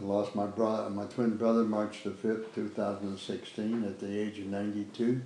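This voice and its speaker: A man with a Chicago accent speaks at a fairly low pitch in a flat monotone, with audible room echo and noticeable background noise. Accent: Chicago American English. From US Midwest, Chicago west side. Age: 90s. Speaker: war veteran. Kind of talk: oral history interview. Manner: halting.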